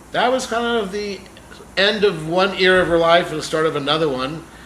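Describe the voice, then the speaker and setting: A man speaks with ordinary pitch variation, amid audible room echo and noticeable background noise. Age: 60s. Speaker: celebrity manager and vlogger. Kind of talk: casual vlog announcements. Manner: casual, occasional filler words.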